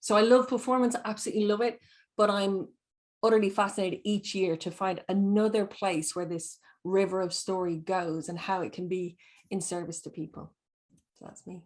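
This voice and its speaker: A woman with an Irish accent, medium pitch, fairly even intonation and a fairly quick pace, over a quiet background. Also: big swings in loudness. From Ireland. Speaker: storyteller. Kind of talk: panel discussion.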